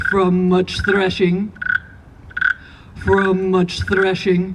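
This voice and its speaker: Using a put-on character voice, a woman speaks at medium pitch and a very slow pace over clear background noise. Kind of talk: eerie folktale telling. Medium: read story. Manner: repetitive, echoing its own answers.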